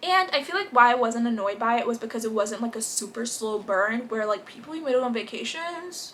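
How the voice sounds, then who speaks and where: Noticeable background noise runs behind a woman with a fairly high pitch. She talks at a fairly quick pace with lively intonation and hardly any pauses. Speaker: booktube reviewer. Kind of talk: casual book review vlog. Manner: fast; animated.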